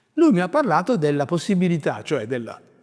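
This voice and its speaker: This man speaks at a high pitch, his voice making very wide pitch swings. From southern Italy, Basilicata. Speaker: writer, prize winner. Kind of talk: interview monologue.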